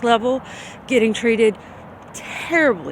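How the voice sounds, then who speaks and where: Against noticeable background noise, a woman with a Louisiana accent speaks at a fairly slow pace. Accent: Southern US (Louisiana). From US South, Shreveport, Louisiana. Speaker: vlogger. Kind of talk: personal testimony video.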